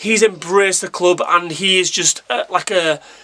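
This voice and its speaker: A man's raised, projected voice with ordinary pitch variation. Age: 30s. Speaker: football fan YouTuber. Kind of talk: casual vlog commentary. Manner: animated, with frequent repetitions.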